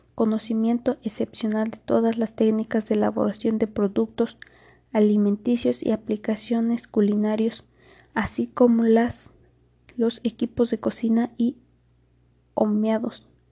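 Somewhat breathy and dark, mellow in tone, a woman's fairly high voice moves at a fairly slow pace with monotone, flat intonation. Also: dry, close sound with no echo. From Mexico, Querétaro. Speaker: cook. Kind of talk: reading aloud. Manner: formal.

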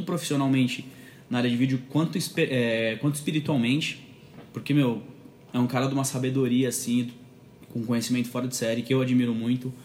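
A man at medium pitch, very fast, with monotone, flat intonation. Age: 20s. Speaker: church video producer. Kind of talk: casual interview.

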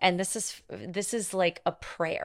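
Fairly slow and fairly even in intonation, a woman with a fairly low pitch, an unremarkable speaking voice and an American accent is captured on a very clean recording with a silent background and a dry, close sound with no echo. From Montana. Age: 30s. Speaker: sex and intimacy coach. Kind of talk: casual interview.

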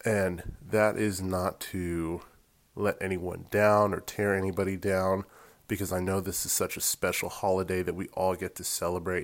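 A man speaks in an American accent at a moderate pace. His pitch is very deep and low, and his intonation is monotone and flat. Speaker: podcast co-host and editor. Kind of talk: devotional message. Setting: solo recorded voiceover.

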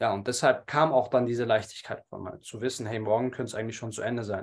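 A man at medium pitch, somewhat breathy, very fast in pace, with fairly even intonation over a quiet background. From Munich, Germany. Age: 30s. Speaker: entrepreneur and public speaker. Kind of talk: interview conversation.

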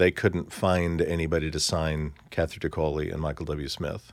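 Very deep, low pitch from a man with an American accent, fairly even intonation and a moderate pace. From central Missouri, US. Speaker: music industry executive. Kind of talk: interview conversation. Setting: studio.

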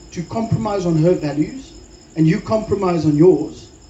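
A man with a high voice speaks with lively intonation, and some room echo can be heard. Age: 40s. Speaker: pastor. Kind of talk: sermon.

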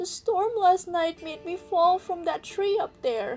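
Over faint music in the background, a put-on character voice speaks at a fairly slow pace with lively intonation. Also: woman, extremely high pitch for a woman. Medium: read story.

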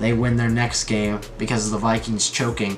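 A man with an American accent at a moderate pace, with audible room echo and noticeable background noise. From New York. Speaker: sports podcast host. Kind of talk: solo sports talk monologue. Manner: casual, frequent filler words.

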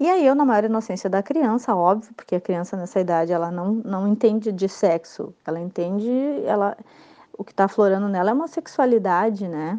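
Dark, mellow tone from a woman at medium pitch, with ordinary pitch variation and a fairly quick pace. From Rio Grande do Sul, Brazil. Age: 30s. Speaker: listener giving testimony. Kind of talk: recorded testimony.

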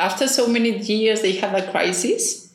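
The woman's speech has ordinary pitch variation, with noticeable background noise present. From Spain, Barcelona. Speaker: NGO director, biologist. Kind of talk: interview. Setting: small office.

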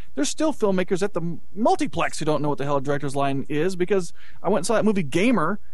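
A man talks very fast at a high pitch with lively intonation. Noticeable background noise is present. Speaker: film producer and internet radio station owner. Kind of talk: casual chat.

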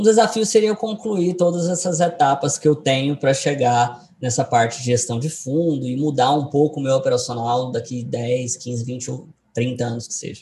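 At a moderate pace, a man with an ordinary speaking voice talks in a fairly high pitch with lively intonation. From Goiás, Brazil (Goiânia). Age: 20s. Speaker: day trader and trading educator. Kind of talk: interview. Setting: video call.

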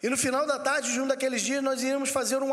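Noticeable background noise and audible room echo surround a man speaking at an extremely high pitch. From Rio de Janeiro, Brazil. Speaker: pastor. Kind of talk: sermon.

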